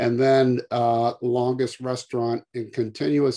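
A man's tone is dark and mellow, with the background quiet. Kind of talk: lecture. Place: home room. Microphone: webcam.

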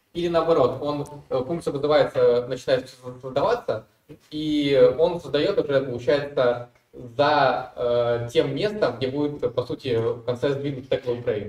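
A man talks at a fairly slow pace with audible room echo around him. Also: fairly high pitch for a man, ordinary pitch variation. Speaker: student. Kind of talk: classroom question. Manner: halting. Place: classroom.

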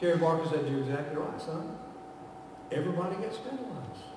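Strong room echo surrounds the speech. The intonation is lively and the pace fairly quick. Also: man, fairly high pitch for a man.

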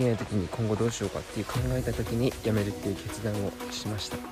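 Clear music plays in the background as someone speaks at a very fast pace with ordinary pitch variation in a dry sound with no echo. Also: man. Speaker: vlogger. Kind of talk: casual vlog chat. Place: open country. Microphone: phone near.

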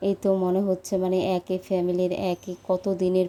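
This woman's voice sits at a medium pitch. Her intonation is monotone and flat. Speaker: lifestyle vlogger. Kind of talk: vlog voice-over narration. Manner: casual, halting with fillers.

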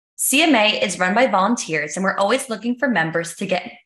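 Her tone bright and sharp, a woman talks at a very fast pace with lively intonation and medium pitch. The room has audible echo, but the background is quiet. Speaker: event host. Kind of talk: webinar host introduction. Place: home room. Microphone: webcam.

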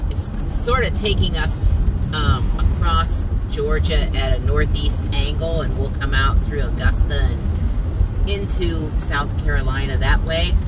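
A woman speaks fairly slowly while loud background noise carries on. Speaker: van camper vlogger. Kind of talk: casual vlog chat.

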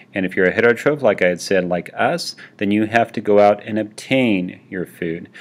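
A man uses a normal speaking voice at a fairly low pitch and a moderate pace. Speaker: teacher. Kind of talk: lecture. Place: home room. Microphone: webcam.

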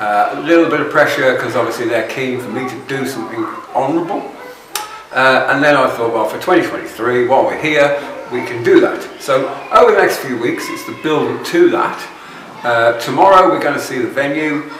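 There is audible room echo and light background noise as a man talks at a moderate pace. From United Kingdom. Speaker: vlogger. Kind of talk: vlog monologue. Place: home room.

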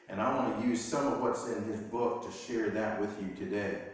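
Strong room echo surrounds the voice. The pace is moderate. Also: man. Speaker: pastor. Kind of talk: sermon. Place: church. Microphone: camera far.

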